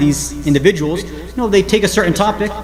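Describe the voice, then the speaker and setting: Very fast and animated, a man with a high pitch and lively intonation speaks amid noticeable background noise and audible room echo. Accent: New Jersey. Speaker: Islamic scholar and speaker. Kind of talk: religious lecture. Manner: animated, conversational.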